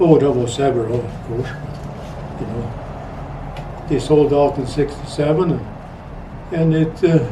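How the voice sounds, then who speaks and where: Noticeable background noise and audible room echo surround a man talking at a fairly slow pace with long, frequent pauses. His voice is fairly high, with ordinary pitch variation. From Sweden. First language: Swedish. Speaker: retired rancher and trapper. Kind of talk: interview storytelling. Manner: halting.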